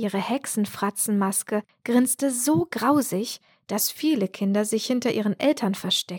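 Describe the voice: Ordinary pitch variation in plain reading aloud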